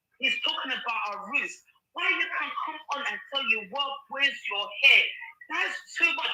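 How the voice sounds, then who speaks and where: The speaker has an African accent and an animated tone. The pitch swings very widely at a moderate pace. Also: woman. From London, England. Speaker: livestream participant. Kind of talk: heated discussion on a livestream.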